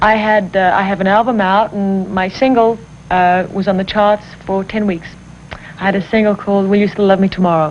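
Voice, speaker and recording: Against noticeable background noise, a woman with an American accent speaks fairly quickly at a medium pitch in a monotone, flat intonation. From Italy and South Africa. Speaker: pop singer. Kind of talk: interview.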